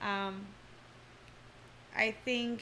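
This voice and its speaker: A woman is speaking. Her recording has audible room echo and noticeable background noise. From Turkey (Istanbul). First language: Turkish. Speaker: former ballet dancer and yoga teacher. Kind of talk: interview conversation. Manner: hesitant, many fillers.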